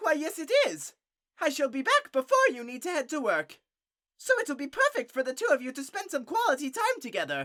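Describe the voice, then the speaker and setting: The voice is a put-on character voice pitched high. Its pace is fairly quick. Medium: audio drama. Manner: formal, enthusiastic.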